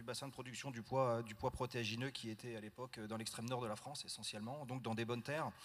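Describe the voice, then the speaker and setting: The man's voice sits at a medium pitch, with fairly even intonation. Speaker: farmer and farm union board member. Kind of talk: panel discussion at a general assembly. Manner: fast; hesitant, many fillers.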